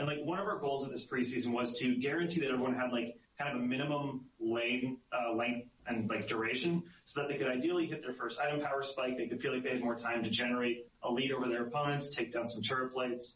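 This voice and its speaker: Talking at a very fast pace with hardly any pauses, a man keeps his intonation fairly even against noticeable background noise. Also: medium pitch for a man. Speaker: game designer on a balance team. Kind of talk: podcast interview explaining data.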